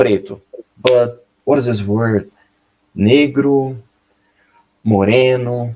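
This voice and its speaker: Speaking very slowly with long, frequent pauses, a man with a Portuguese accent uses a medium pitch, fairly even intonation and a dark, mellow tone. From Brazil. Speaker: English learner. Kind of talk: casual conversation lesson. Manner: halting.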